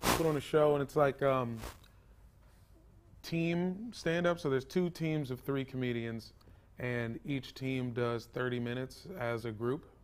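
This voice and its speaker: A man with a normal speaking voice and an American accent, medium-pitched and fairly slow, with ordinary pitch variation. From US Mid-Atlantic (Virginia, DC suburbs). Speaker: stand-up comedian. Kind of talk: casual chat.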